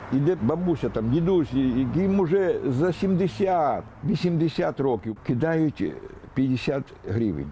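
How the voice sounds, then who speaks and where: A man's fairly high, somewhat breathy voice with a dark, mellow tone, lively intonation, a fairly slow pace and very even loudness. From Kherson, southern Ukraine. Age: 70s. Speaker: aid collector for the army. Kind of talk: TV news interview answer.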